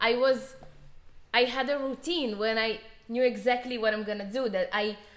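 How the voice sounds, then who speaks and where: A woman with a non-native accent speaks at a moderate pace in a high voice, her intonation fairly even. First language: not English. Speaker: musician and video creator. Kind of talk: casual chat.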